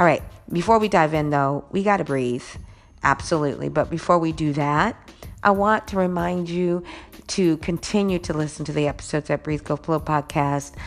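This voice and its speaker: The speaker keeps a moderate pace. Pitch varies in an ordinary way. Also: woman, very deep, low pitch for a woman. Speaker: podcast host. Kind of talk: solo podcast monologue.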